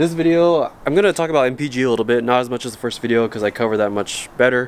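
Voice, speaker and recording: A man talks at a very fast clip. His pitch moves in an ordinary way, with light noise in the background. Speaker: vehicle vlogger. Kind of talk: casual vlog chat. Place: street. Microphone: phone near.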